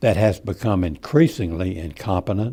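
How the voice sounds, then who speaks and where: Somewhat breathy and dark, mellow in tone, a man speaks with lively intonation. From Texas. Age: 80s+. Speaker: retired citizen giving political commentary. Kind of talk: prepared speech. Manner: measured, reading from script.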